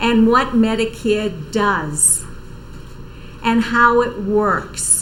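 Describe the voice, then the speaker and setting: A woman with a Boston accent speaks at a very slow pace and medium pitch, with audible room echo and noticeable background noise. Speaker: senior services outreach coordinator. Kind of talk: TV interview.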